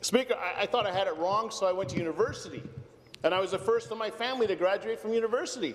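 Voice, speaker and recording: The man has a high-pitched voice and a Canadian accent. Noticeable background noise runs under his speech. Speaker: politician. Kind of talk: parliamentary speech. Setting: legislative chamber.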